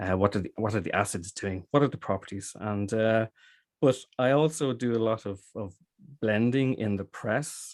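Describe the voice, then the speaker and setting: A very clean recording with a silent background, ordinary pitch variation, a dry, close sound with no echo, a moderate pace, and an Irish accent. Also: man, medium pitch for a man. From Ireland, Dublin. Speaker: cider maker. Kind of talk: interview. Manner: halting.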